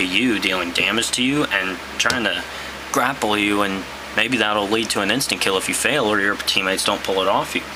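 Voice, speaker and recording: A man with a fairly low voice talks at a fairly quick pace, with audible room echo and noticeable background noise. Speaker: gaming YouTuber. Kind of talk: casual monologue. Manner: hesitant, many fillers.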